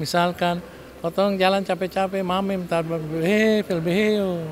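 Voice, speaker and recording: Noticeable background noise sits behind this recording. A man talks at a high pitch with ordinary pitch variation. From Kei Islands, Maluku. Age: 60s. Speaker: regent (local government head). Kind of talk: interview remarks. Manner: halting with fillers.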